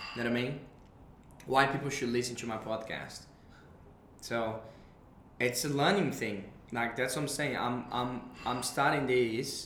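Amid noticeable background noise, the speaker talks in a Brazilian accent with fairly even intonation and long, frequent pauses. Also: man, medium pitch for a man, moderate pace. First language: Portuguese. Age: 20s. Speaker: podcast host. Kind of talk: casual conversation, podcast intro. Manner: hesitant, fillers.

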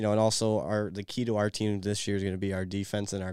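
A man with a Midwestern American accent speaks at a very fast pace with a fairly low pitch and monotone, flat intonation. The recording is very clean with a silent background. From Michigan. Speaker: college hockey player. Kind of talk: interview.

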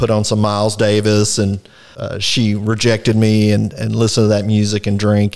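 On a very clean recording with a silent background, the speech comes in a Texan accent at a moderate pace with monotone, flat intonation. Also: man. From Texas, Fort Worth area. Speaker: recovering alcoholic sharing his story. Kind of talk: personal testimony in interview. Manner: hesitant, frequent filler words.

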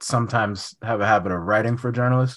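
Recorded very cleanly against a silent background, a plain, everyday voice with an American accent keeps a fairly even intonation. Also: man. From California, Sacramento. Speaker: journalist and author. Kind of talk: interview.

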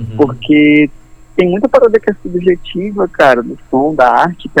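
At a fairly slow pace, a man talks with lively intonation in an ordinary speaking voice. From Belém, Pará, Brazil. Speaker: guitar pedal builder. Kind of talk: casual interview. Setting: phone call.

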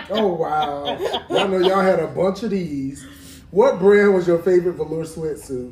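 Against noticeable background noise, a man with an American accent speaks at a high pitch. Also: ordinary pitch variation, moderate pace. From Columbia, South Carolina. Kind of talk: casual chat with trivia quiz.

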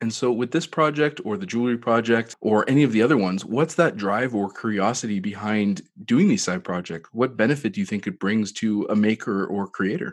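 With a normal speaking voice at a medium pitch, a man talks fairly quickly with lively intonation and hardly any pauses. The background is quiet. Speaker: podcast host. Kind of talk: interview.

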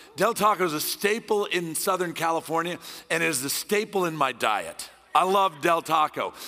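Loud and at a moderate pace, a man speaks in a high pitch with ordinary pitch variation over music in the background. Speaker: guest preacher. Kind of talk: sermon. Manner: intense, passionate.

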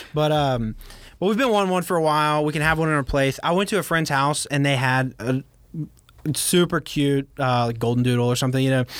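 In an American accent, a man with a fairly high pitch talks at a fairly quick pace, his loudness very even and his pitch varying in an ordinary way, on a very clean recording with a silent background. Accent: slight Southern US, fades in California. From Baton Rouge, Louisiana. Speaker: woodworker and former tech worker, student. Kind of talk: casual interview chat.

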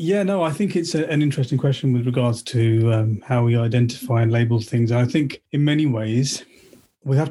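A man with a southern English accent speaks at medium pitch and a moderate pace, with ordinary pitch variation. His tone is dark and mellow, and somewhat breathy. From Slough, England. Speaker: collector of Sikh art and artefacts. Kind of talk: casual interview. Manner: halting, many fillers and repeats.

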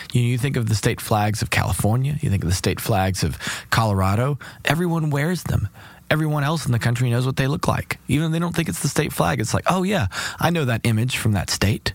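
Speaking at a very fast pace, a man with a medium pitch uses lively intonation. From Kentucky. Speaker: cellist and singer-songwriter. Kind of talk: casual interview chat. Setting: studio.

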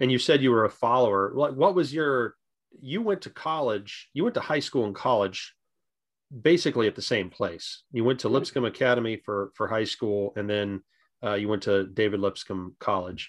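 An ordinary speaking voice with lively intonation moves at a moderate pace over a quiet background. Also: man, medium pitch for a man. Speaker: podcast host interviewing his father. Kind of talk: interview for a family-history podcast, with scripted intro.

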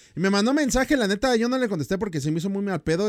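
A man speaks with a Mexican accent at a high pitch, with very wide pitch swings. The recording is very clean, with a silent background. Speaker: podcast host and YouTuber. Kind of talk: casual chat. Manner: animated.

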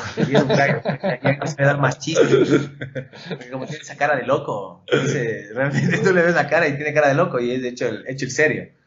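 Noticeable background noise sits behind a man speaking at a fairly quick pace and fairly high pitch. His loudness swings widely while his pitch varies in an ordinary way. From Ecuador, Quito. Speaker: motocross rider. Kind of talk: casual chat. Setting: studio.

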